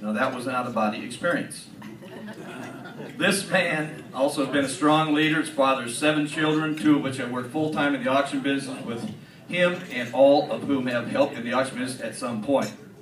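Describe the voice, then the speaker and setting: A fairly high-pitched man talking at a fairly quick pace, with ordinary pitch variation and noticeable background noise. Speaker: auction association member presenting an induction award. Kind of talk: award presentation speech reading a biography. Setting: live event in front of an audience.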